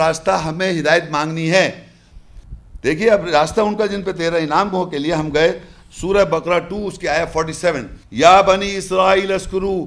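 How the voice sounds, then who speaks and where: A man's high-pitched voice at a fairly slow pace. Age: 50s. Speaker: religious lecturer. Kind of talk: lecture. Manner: animated. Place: hall. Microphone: lapel.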